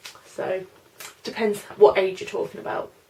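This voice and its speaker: Her speech moves at a moderate speed. Noise in the background can be clearly noticed. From London, then Norfolk. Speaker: beauty vlogger. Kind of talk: casual Q&A tag video. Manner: chatty, hesitant with fillers.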